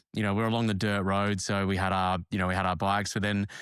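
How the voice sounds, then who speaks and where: A man talks with an Australian accent. The recording is very clean, its background silent. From South Australia, rural. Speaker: podcast host. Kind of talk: interview conversation.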